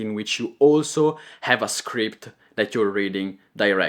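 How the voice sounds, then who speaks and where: A man with a slight Italian accent speaks at a moderate pace on a very clean recording with a silent background. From Italy. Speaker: content creator and coach. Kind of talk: tutorial. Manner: clear pronunciation; improvised, with filler words.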